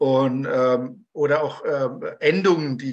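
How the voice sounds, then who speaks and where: This man has an ordinary speaking voice, fairly high in pitch, with fairly even intonation. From Germany (Taunus, Hesse); Hesse. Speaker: conductor, audience member; audience member. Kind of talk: audience question. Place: home room. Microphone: video call.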